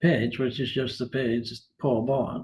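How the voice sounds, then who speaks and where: A somewhat breathy man at a fairly slow pace. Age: 80s. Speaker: retired philosopher. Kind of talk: interview. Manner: halting.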